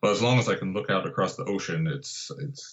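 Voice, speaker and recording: Fairly quick, fairly high speech from a man with an American accent, full of very wide pitch swings. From Southern California (Santa Barbara). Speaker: landscape photographer and guidebook author. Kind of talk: casual interview.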